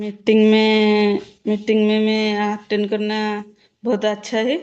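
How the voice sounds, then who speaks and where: The speaker has an Odia accent. The intonation stays monotone and flat. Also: woman, fairly high pitch for a woman. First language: Odia (speaking Hindi). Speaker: direct-selling business member. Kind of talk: testimony. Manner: halting.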